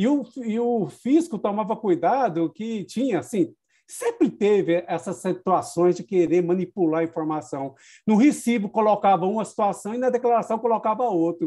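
A man speaks at a moderate pace with a high pitch and a dark, mellow tone. His intonation is lively, and the background is quiet. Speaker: host of live stream for accounting council. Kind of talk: moderated webinar. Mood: nostalgic storytelling. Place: home room. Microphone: webcam.

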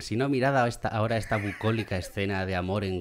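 Loud background noise runs under a man talking at a fairly quick pace. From Spain. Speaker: gaming youtuber. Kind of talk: gameplay commentary. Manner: animated.

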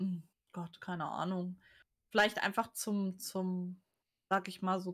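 A woman talks fairly slowly against a quiet background. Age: 30s. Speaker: author and cover designer; guest. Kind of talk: casual chat. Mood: candid, reflective. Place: home room. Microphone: webcam.

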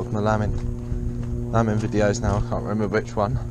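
The speech moves at a moderate pace with clear music in the background and a dry sound with no echo. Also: man. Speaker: farmer vlogger. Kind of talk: casual vlog chat. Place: farm machine. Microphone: phone near.

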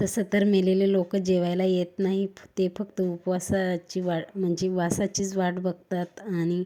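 A woman speaks at a medium pitch with a dark, mellow tone, monotone and flat in intonation, her loudness very even throughout. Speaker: lifestyle vlogger. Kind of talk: vlog narration.

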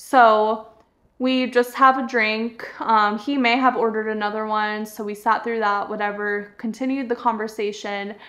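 A woman with an American accent talks at a moderate pace in a fairly high, bright, sharp voice. Her intonation stays monotone and flat against a quiet background. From Florida. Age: 30s. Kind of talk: casual storytelling vlog. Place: home room.

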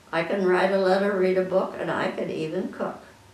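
Audible room echo surrounds the recording. The speaker is a woman. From Midwestern US. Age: 80s+. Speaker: amateur poet. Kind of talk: poetry reading. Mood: warm, proud, gently humorous. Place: home room. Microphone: camera far.

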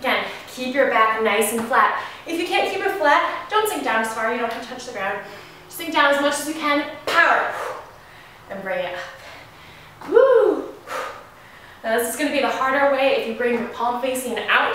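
A woman's high voice makes very wide pitch swings against strong room echo and light background noise. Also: moderate pace. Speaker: fitness instructor. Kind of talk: workout tutorial instruction. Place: garage.

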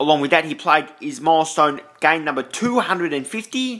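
It is quiet in the background. The pace is moderate. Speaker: VHS collector reviewer. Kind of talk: casual product review. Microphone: phone near.

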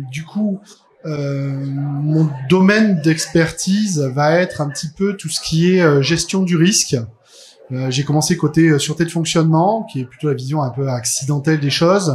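A man speaks at a fairly slow pace with ordinary pitch variation over light background noise. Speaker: conference speaker. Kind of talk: lecture. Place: hall.

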